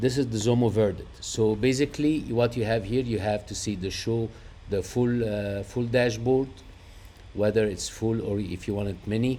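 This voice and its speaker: Here a man talks with an Arabic accent at a moderate pace. His medium-pitched voice has a dark, mellow tone and fairly even intonation. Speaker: trading indicator developer. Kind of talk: screen-share tutorial. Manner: hesitant, many fillers.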